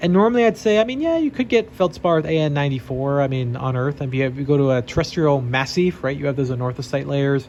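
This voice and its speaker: With lively intonation, a man talks at a very fast pace and a fairly high pitch. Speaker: geology PhD student and meteorite classifier. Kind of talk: tutorial. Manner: casual with fillers and hesitations.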